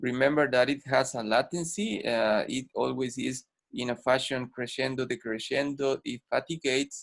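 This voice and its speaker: A man with a Spanish accent talks at a moderate pace and medium pitch with ordinary pitch variation and hardly any pauses, recorded dry and close with no echo on a very clean, silent background. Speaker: ENT doctor and guest lecturer. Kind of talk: medical lecture. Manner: halting, many fillers.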